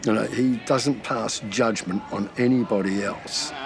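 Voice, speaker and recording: A man with a New Zealand accent talking very slowly over noticeable background noise. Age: old. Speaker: basketball coach and retired teacher. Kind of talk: casual chat.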